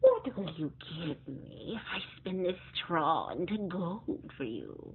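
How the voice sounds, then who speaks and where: Using a put-on character voice, a woman speaks at a fairly slow pace with a fairly low pitch and lively intonation over clear background noise. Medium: read story. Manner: sly, bargaining.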